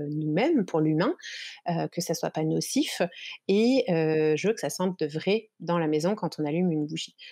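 A dark, mellow voice is heard against a quiet background. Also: woman. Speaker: shop owner and entrepreneur. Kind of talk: casual interview.

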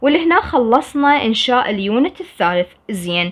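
With an Iraqi accent, a woman speaks at a very slow pace. Her high pitch swings very widely. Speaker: English teacher. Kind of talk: tutorial.

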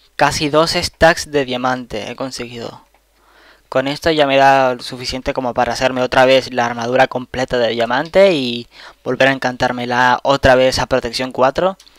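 Dry and close with no echo, a man's medium-pitched voice moves at a moderate pace with fairly even intonation. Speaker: gaming youtuber. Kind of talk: gameplay commentary. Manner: casual, rambling with repetitions.

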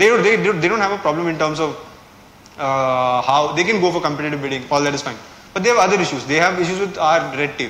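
Talking at a very fast pace, a man with a Kerala Indian accent and a fairly high pitch is heard with audible room echo. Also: ordinary pitch variation. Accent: Malayali Indian English. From India, Kerala. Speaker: civil services exam topper. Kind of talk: strategy talk to students. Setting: classroom with live audience. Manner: casual, hesitant with fillers. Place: classroom.

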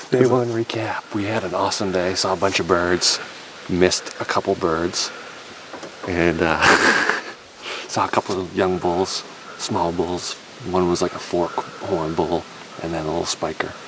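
Through noticeable background noise, a man with a very deep, low pitch talks at a moderate pace with fairly even intonation and long, frequent pauses, the sound dry with no echo. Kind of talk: casual vlog chat. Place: open country. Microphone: phone near.

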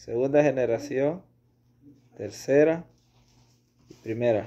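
Dark, mellow tone from a man at a slow pace with ordinary pitch variation

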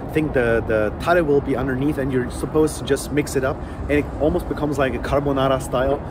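A man speaks fairly quickly as noticeable noise carries in the background. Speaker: food vlogger. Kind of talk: casual vlog chat, food review. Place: street. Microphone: phone near.

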